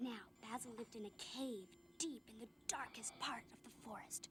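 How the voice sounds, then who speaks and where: A cartoonish character voice, female-sounding and fairly high in pitch, goes at a moderate pace over clear background noise. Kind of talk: bedtime ghost story telling.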